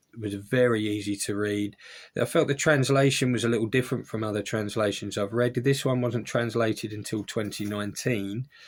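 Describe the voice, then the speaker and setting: A man in an Essex accent talks at a fairly quick pace and medium pitch with fairly even intonation, on a very clean recording with a silent background. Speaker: book reviewer. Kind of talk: casual book review video. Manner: casual, with hesitations.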